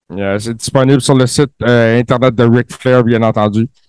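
A man speaks at medium pitch in a Quebec accent. The sound is dry and close, with no echo. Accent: Quebecois French. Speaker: co-host. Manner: animated, playful ring announcer style.

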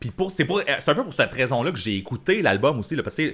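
Speaking in a Quebec accent, a man moves at a fairly quick pace with very wide pitch swings. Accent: Québécois French. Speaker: podcast co-host. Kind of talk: casual chat. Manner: laughing, hesitant.

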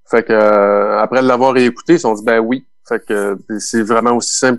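The voice has a Quebec accent and a monotone, flat intonation. The pace is fairly slow. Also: man. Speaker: keyboardist and record producer. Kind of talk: casual interview.

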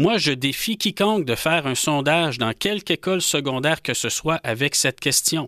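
Heard on a very clean recording with a silent background and a dry, close sound with no echo, a man speaks at a moderate pace in a bright, sharp, fairly high voice with very wide pitch swings. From Quebec, Rouyn-Noranda. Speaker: nationalist association leader, political commentator. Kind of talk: political panel discussion. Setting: studio.

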